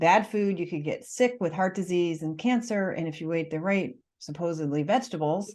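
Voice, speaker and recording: With an American accent, a woman speaks in an unremarkable speaking voice at a fairly low pitch. Her pitch variation is ordinary, and the background is quiet. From United States. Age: 50s. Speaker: nutritionist and author. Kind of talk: podcast interview.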